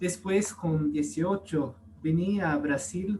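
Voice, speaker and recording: Somewhat breathy, a man speaks at a very slow pace with a non-native accent. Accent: foreign accent in Spanish. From US, California. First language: English (speaking Spanish). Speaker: priest. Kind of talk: testimony. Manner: halting.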